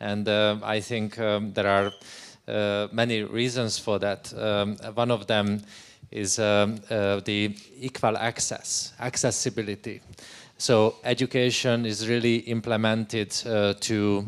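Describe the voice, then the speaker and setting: A man with a Hungarian accent speaks at a fairly slow pace, his pitch fairly low and his intonation monotone and flat. The recording is very clean, with a silent background. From Hungary. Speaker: education researcher. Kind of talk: panel discussion. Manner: halting.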